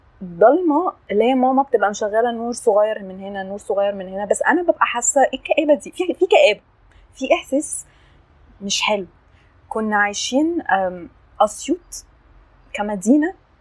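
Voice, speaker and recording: A woman's high, animated voice at a moderate pace, with very wide pitch swings, big shifts in loudness and long, frequent pauses. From Egypt (Upper Egypt, Assiut). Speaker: podcast guest sharing life story. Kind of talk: casual interview, personal testimony.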